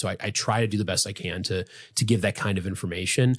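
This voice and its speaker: Here a man speaks at a fairly low pitch with an American accent. The recording is very clean, with a silent background. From US Midwest, Chicago suburbs. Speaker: physician. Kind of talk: podcast interview. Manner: fast.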